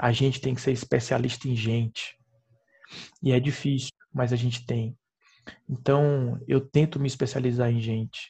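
A man speaks at a medium pitch and moderate pace in a somewhat breathy, dark, mellow tone, with monotone, flat intonation and long, frequent pauses. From Piauí, northeastern Brazil. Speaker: perfusionist and professor. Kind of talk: casual interview chat.

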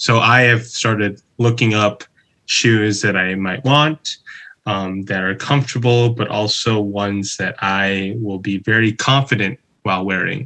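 Bright and sharp in tone, a man with an American accent speaks at a fairly slow pace, his fairly low pitch held in fairly even intonation. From Chicago, US Midwest. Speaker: former English teacher in Japan. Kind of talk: casual chat.

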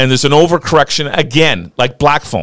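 A man with a fairly high voice shows vocal fry. The sound is dry and close, with no echo. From Newfoundland, Canada. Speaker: radio show co-host. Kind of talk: casual chat.

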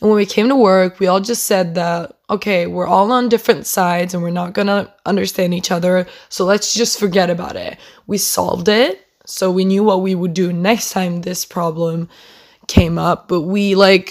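With an unremarkable speaking voice, a woman talks at a medium pitch using fairly even intonation. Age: young. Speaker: podcast host, upper secondary student. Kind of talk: casual solo rant. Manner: chatty, frequent laughter.

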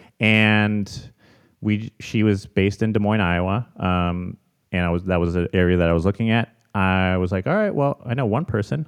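A man with an American accent has a plain, everyday voice, fairly low in pitch with ordinary pitch variation. He keeps a moderate pace and very even loudness. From Chicago, US Midwest. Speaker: real estate investor. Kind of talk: interview.

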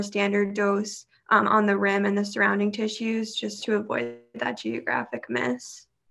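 With an American accent, a woman in a normal speaking voice talks at a moderate pace and a fairly high pitch, her intonation fairly even against a quiet background. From New York. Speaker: cancer survivor and student panelist. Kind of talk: panel Q&A.

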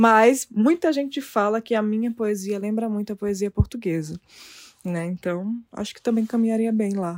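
With a dry, close sound and no echo, a woman with an unremarkable speaking voice talks at a moderate pace, her pitch fairly high and its variation ordinary. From Brazil. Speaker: poet and publisher. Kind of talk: interview.

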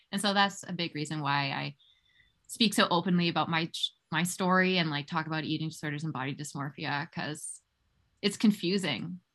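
This woman has a normal speaking voice, fairly low in pitch, with ordinary pitch variation. She talks at a fairly quick pace over a quiet background. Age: 20s. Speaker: health coach. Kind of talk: interview.

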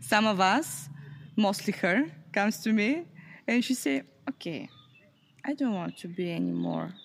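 In a Bulgarian accent, a woman with a medium pitch speaks at a fairly slow pace, her voice making very wide pitch swings. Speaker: youth project organizer. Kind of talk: interview.

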